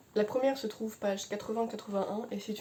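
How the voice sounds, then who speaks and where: A woman's fairly high-pitched voice. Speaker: book reviewer youtuber. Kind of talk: book review monologue. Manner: fast; mumbles words, hesitant.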